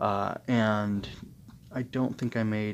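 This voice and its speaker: This is a man with a plain, everyday voice. His pitch is fairly low, with ordinary pitch variation. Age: 30s. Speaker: anime review podcaster. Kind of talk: solo review monologue. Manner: casual with many fillers.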